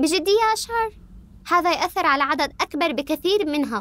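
Recorded with a dry sound with no echo, a woman speaks with lively intonation. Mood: annoyed, confrontational. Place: office.

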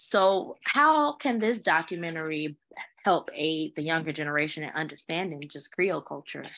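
Speaking at a moderate pace with an American accent, a woman has a fairly low pitch, a bright, sharp tone, ordinary pitch variation and big swings in loudness. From Chicago area. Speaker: university administrator, panel moderator; panel moderator. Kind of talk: panel moderation. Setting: video webinar. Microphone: video call.

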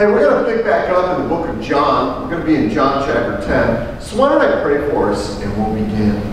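Against light background noise and strong room echo, a man speaks at a fairly quick pace with very wide pitch swings. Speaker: pastor. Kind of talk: church sermon. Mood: calm, reverent prayer. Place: church.

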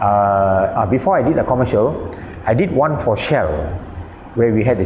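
The delivery comes at a moderate pace. Audible room echo and light background noise are present. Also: man. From Malaysia. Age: 70s. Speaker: animation director and film critic. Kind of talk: interview answer. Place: home room. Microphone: lapel.

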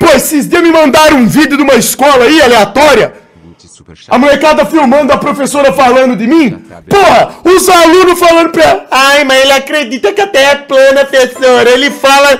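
A man speaks at an extremely high pitch in an animated tone at a moderate pace. His loudness stays very even. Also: ordinary pitch variation. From Brazil. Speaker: streamer. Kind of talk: live stream chat reading. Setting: live stream. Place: home room. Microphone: studio mic.

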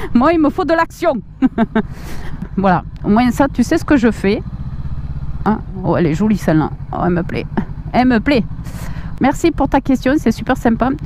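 With a southwestern French accent, a woman speaks at a high pitch and moderate pace with very wide pitch swings and long, frequent pauses, in a dry sound with no echo but noticeable background noise. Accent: south-west French. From Agen, south-west France. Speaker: motorcycle vlogger. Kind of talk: casual talk to camera while riding. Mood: cheerful, enthusiastic. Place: motorbike.

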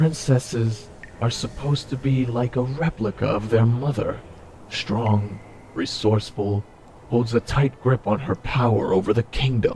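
The speaker talks at a moderate pace with ordinary pitch variation. Clear background noise runs underneath. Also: man, medium pitch for a man. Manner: menacing, contemptuous, taunting.

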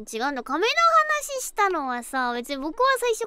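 A woman's raised, projected voice at an extremely high pitch, with very wide pitch swings, a moderate pace, dry sound with no echo and noticeable background noise. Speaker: virtual band vocalist streamer. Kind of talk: casual game stream talk. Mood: nervous, relieved, chatty.

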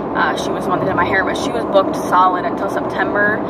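A woman talks at a very fast pace over loud background noise. The sound itself is dry, with no echo. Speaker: vlogger. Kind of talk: casual vlog chat. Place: car. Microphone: phone near.

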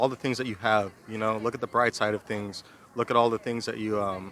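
Here a man speaks at medium pitch with a bright, sharp tone. His intonation stays fairly even.

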